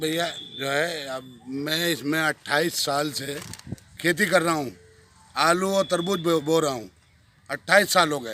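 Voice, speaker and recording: Taking long, frequent pauses, a man speaks in a fairly high pitch with noticeable background noise behind him. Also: ordinary pitch variation. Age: 60s. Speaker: farmer. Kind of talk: news interview.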